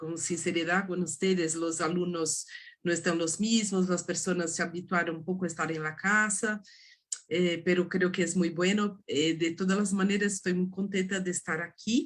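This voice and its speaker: Speaking at a moderate pace in a Portuguese accent, a woman has a fairly low pitch and a monotone, flat intonation. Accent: Portuguese-accented Spanish (portuñol). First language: Portuguese (speaking Spanish). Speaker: art history professor. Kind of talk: academic lecture. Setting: video call. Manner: halting, many hesitations.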